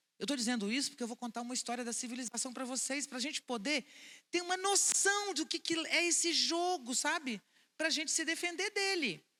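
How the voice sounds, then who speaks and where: A woman speaks in a raised, projected voice at a high pitch and a fairly quick pace, animated in tone, bright and sharp, with lively intonation and a dry, close sound with no echo. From Brazil, Vitória, Espírito Santo. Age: 60s. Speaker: philosopher and speaker. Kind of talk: public talk to an audience. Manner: animated, conversational.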